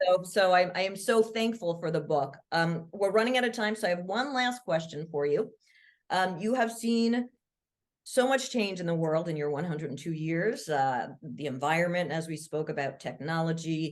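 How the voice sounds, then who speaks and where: This is a plain, everyday voice: a woman with a fairly low pitch and lively intonation. She talks at a moderate pace against a quiet background. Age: 50s. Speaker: podcast host. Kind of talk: interview.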